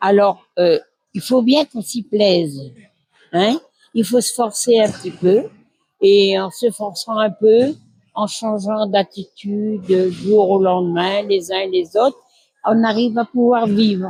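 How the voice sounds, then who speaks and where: A woman's very slow speech at medium pitch, dark and mellow in tone, with ordinary pitch variation and big swings in loudness. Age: 80s+. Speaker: nursing home resident. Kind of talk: testimony. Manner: halting.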